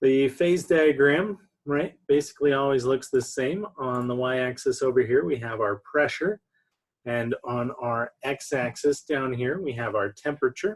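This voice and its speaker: A man has a plain, everyday voice. He talks at a fairly slow pace with ordinary pitch variation. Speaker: chemistry lecturer. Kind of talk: online lecture. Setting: recorded online lecture with slides.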